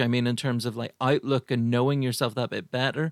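This man speaks with an Irish accent. His voice sounds dry and close with no echo, on a very clean recording with a silent background. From Ireland. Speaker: podcast host and comedian. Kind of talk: casual chat.

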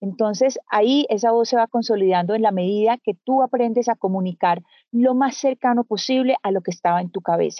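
Fairly quick pace, hardly any pauses and ordinary pitch variation. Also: woman, fairly high pitch for a woman. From Colombia. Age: 50s. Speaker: journalist. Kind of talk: interview conversation. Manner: soft-spoken; calm.

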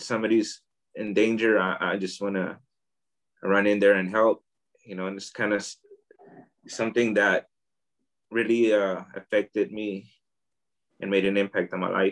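A man with an American accent, fairly low pitch, and a moderate pace. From US, Oakland, California. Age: 40s. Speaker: artist and immigration advocate. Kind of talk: interview.

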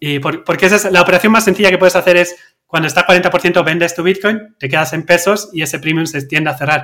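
Here is a bright, sharp tone with a Basque accent. The delivery is very fast, with fairly even intonation. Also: man, high pitch for a man. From Basque Country, Spain. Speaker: crypto trader, company cofounder. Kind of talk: interview.

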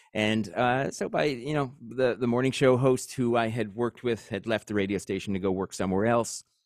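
A normal speaking voice with an American accent moves at a fairly quick pace with hardly any pauses. Pitch varies in an ordinary way on a very clean recording with a silent background. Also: man, medium pitch for a man. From New York, Long Island (Suffolk County). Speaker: radio broadcaster and station founder. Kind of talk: interview conversation.

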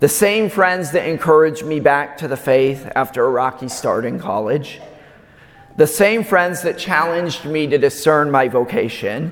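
A male voice with an American accent, fairly high in pitch, lively in intonation and moderate in pace, over noticeable background noise. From US Midwest, Omaha, Nebraska. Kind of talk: sermon. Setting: church.

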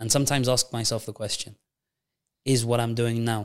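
Speaking at a moderate pace in a medium pitch, a man holds a flat, monotone intonation on a very clean recording with a silent background. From Gibraltar. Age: 20s. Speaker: secondary school science teacher. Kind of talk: casual interview conversation.

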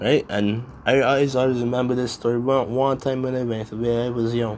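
This man's speech comes at a fairly quick pace. It has a monotone, flat intonation. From Barbados. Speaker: podcast host. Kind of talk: solo podcast monologue. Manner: rambling, halting, casual.

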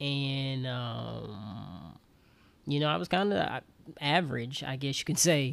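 Recorded very cleanly against a silent background, a man with an American accent speaks very slowly at a medium pitch, his intonation lively. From US South, Alabama. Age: 20s. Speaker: podcast host. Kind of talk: personal monologue.

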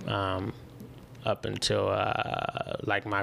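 A man with a Chicago accent. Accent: Chicago-area American. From Illinois, Chicago suburbs. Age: 30s. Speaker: entrepreneur. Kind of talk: casual chat.

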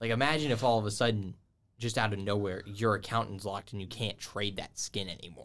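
An unremarkable speaking voice from a man with an American accent, fairly low in pitch, fairly even in intonation, at a fairly quick pace on a very clean recording with a silent background. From Georgia, US South. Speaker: college esports podcast host. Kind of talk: casual chat.

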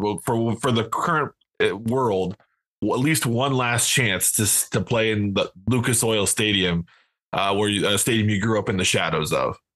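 Moderate pace and very even loudness from a man with an unremarkable speaking voice, medium pitch, ordinary pitch variation and an American accent, over a quiet background. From Iowa. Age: 40s. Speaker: podcast co-host. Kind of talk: casual interview.

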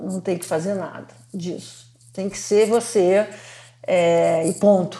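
A woman's dark, mellow tone at a medium pitch, very slow, with long, frequent pauses. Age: 60s. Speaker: economist and lawyer. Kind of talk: interview. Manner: animated.

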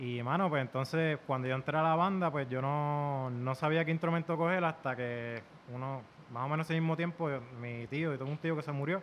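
A man speaks at a fairly quick pace in a normal speaking voice. His pitch is fairly high, with fairly even intonation. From Puerto Rico (Isabela), born in Virginia. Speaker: musician, trombonist. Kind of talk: casual chat.

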